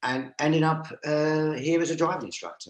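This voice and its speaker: A man in a London accent talks at a moderate pace. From North London, Stoke Newington. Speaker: driving instructor trainer. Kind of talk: interview. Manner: hesitant, many fillers.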